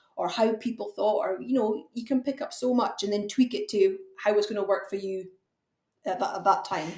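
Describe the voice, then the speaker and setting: Fairly high in pitch, a woman talks at a fairly quick pace with lively intonation. She speaks in a Hebridean accent. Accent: Hebridean Scottish. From Outer Hebrides, Scotland. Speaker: fencing contractor. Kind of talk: podcast interview.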